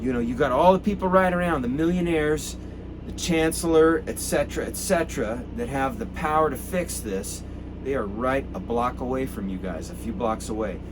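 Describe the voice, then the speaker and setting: A man with an American accent talks at a moderate pace. Noticeable background noise and audible room echo surround him. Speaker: activist. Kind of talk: impassioned address to protesters. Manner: animated.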